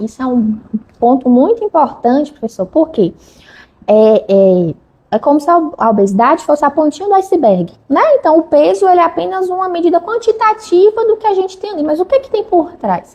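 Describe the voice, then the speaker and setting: A woman's voice sits at an extremely high pitch and moves in very wide pitch swings. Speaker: endocrinologist. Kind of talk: interview. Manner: fast.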